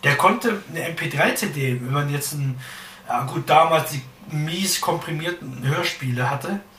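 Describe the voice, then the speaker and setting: Recorded with noticeable background noise and audible room echo, a man speaks at a fairly high pitch with ordinary pitch variation. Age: 30s. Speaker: podcast host. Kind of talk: casual chat.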